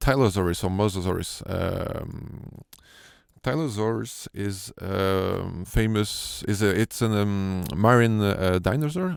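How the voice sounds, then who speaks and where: A man's fairly low, very slow voice with a French accent and ordinary pitch variation, on a very clean recording with a silent background. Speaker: sound designer. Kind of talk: tutorial. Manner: halting, many fillers.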